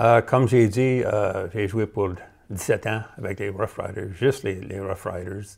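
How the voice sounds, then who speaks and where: Very slow, somewhat breathy speech from a man with a fairly low pitch and fairly even intonation, over a quiet background. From Cornwall, Ontario (Franco-Ontarian); Ontario. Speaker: retired professional football player; interview guest. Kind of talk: interview. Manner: halting, many fillers and repeats. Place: studio. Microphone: lapel.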